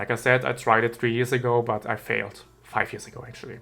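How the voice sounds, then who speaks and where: Music plays in the background as a man speaks with a German accent. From Germany. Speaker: YouTuber and game mod creator. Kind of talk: Q&A video monologue. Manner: halting, with fillers.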